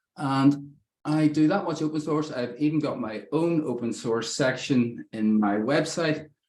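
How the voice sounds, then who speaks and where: In an Irish accent, a man speaks at a fairly slow pace with a fairly high pitch and ordinary pitch variation. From Ireland. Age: 50s. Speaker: software developer, presenter. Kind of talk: technical talk.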